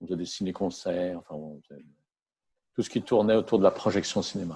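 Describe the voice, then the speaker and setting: Against a quiet background, a man with a very deep, low pitch and a dark, mellow tone keeps his intonation fairly even while his loudness swings widely. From France. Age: 60s. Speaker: entrepreneur. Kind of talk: interview. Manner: halting.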